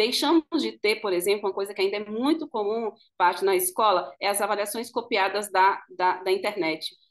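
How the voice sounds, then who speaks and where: A woman's voice at medium pitch, with ordinary pitch variation and hardly any pauses. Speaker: school educator and pedagogical coordinator. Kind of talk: panel talk at online event. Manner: fast.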